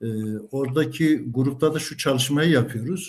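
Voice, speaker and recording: A man talks at a moderate pace in a somewhat breathy voice of medium pitch with ordinary pitch variation. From Central Anatolia, Kırşehir (Kaman). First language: Kurdish (speaking Turkish). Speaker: retired teacher, Kurdish language teacher. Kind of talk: interview. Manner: hesitant, many filler sounds.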